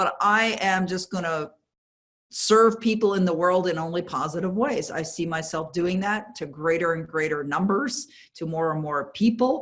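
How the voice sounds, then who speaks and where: This is a plain, everyday voice with lively intonation. It moves at a moderate pace. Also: woman, fairly low pitch for a woman. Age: 60s. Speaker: author and success coach. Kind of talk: interview.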